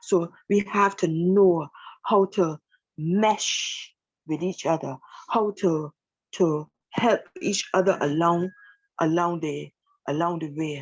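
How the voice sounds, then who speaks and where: A woman speaks at a very slow pace with fairly even intonation. Her speech has long, frequent pauses. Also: fairly low pitch for a woman. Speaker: church elder woman giving talk. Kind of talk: sermon-like talk.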